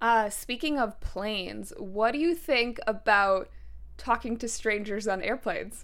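A woman speaks at a fairly slow pace in a plain, everyday voice that is fairly high with ordinary pitch variation. The recording is very clean, with a silent background. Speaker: podcast host. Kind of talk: casual interview chat.

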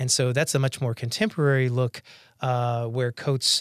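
At a moderate pace, a man with an American accent and an ordinary speaking voice talks at a medium pitch with fairly even intonation, in a dry, close sound with no echo against a quiet background. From North Carolina, US. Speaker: economist. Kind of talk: interview monologue.

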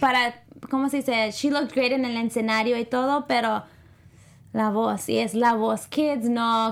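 At a fairly slow pace, a woman with an unremarkable speaking voice keeps a fairly high pitch and fairly even intonation. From United States, Spanish-speaking family. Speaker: entertainment show co-host. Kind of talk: casual chat.

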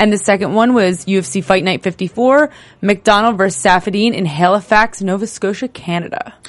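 With an American accent, a woman talks at a fairly quick pace in a medium-pitched voice. Her tone is animated, with ordinary pitch variation. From New Jersey. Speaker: sports podcast host. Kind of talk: casual chat.

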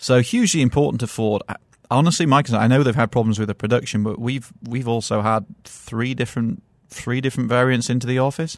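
A man delivers his words at a very fast pace while the background stays quiet. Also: medium pitch for a man, ordinary pitch variation. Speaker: car journalist. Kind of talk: casual chat. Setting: studio.

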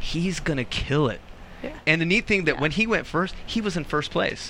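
A man's high-pitched, animated voice at a moderate pace, with noticeable background noise. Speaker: after-show host. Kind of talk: casual panel chat, live show.

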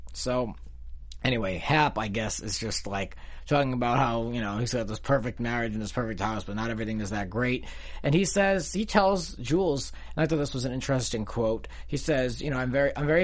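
With an unremarkable speaking voice, a man talks at a fairly quick pace and medium pitch, his intonation lively. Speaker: TV aftershow host. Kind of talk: casual chat.

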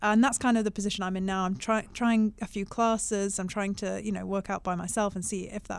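A woman's medium-pitched, flat monotone at a fairly quick pace, on a very clean recording with a silent background. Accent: British. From UK. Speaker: stock market analyst. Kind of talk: casual chat. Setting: studio.

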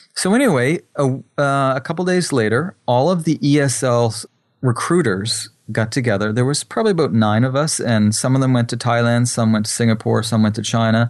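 Here is an unremarkable speaking voice from a man at medium pitch, with ordinary pitch variation. He keeps a fairly quick pace and very even loudness. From Atlantic Canada (New Brunswick). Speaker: photographer and filmmaker. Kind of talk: interview.

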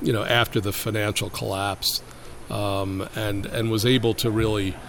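This man has an unremarkable speaking voice, pitched fairly low. He talks at a fairly slow pace. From Brooklyn, New York. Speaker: urban policy expert. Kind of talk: interview.

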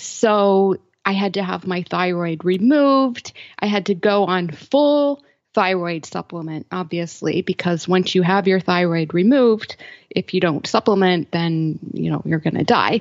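At a fairly slow pace, a woman talks in a normal speaking voice at medium pitch with ordinary pitch variation. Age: 40s. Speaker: health blogger and podcaster. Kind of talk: interview.

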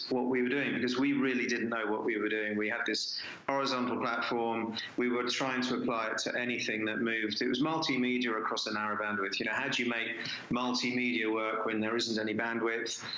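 A man talks at a fairly quick pace with very even loudness and a monotone, flat delivery. The room echo is audible, and background noise is noticeable. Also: medium pitch for a man. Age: 50s. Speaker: tech entrepreneur. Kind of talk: interview.

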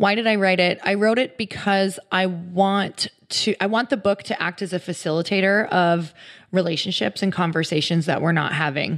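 An unremarkable speaking voice from a woman with an American accent, medium in pitch with ordinary variation, at a moderate pace on a very clean recording with a silent background. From US Midwest. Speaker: author and fitness entrepreneur. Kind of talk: casual interview. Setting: in person at her home.

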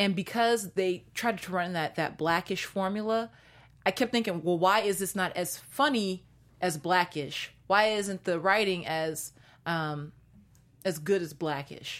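Her tone animated, a woman speaks at a fairly slow pace with a medium pitch and ordinary pitch variation, on a very clean recording with a silent background. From Seattle, US Pacific Northwest. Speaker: TV after-show host. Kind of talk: casual chat.

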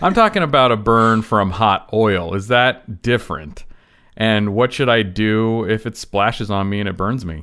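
In a very clean recording with a silent background, a man speaks at a moderate pace with a bright, sharp tone and ordinary pitch variation. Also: fairly low pitch for a man. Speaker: non-medical podcast co-host. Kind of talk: casual comedic chat.

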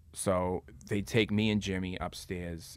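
A man talks in a very deep, low pitch with a Boston accent. The recording is very clean, with a silent background. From South Boston, Massachusetts. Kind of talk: casual chat. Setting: studio.

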